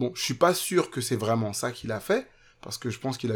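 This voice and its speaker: Talking very fast, a man keeps ordinary pitch variation. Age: 30s. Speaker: podcast listener sharing weight-loss story. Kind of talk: testimony. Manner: halting.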